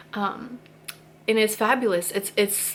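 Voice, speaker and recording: A woman is speaking. Her pitch sits in the middle of the female range. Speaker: YouTuber sharing spiritual thoughts. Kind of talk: casual talk to camera. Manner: fast; animated.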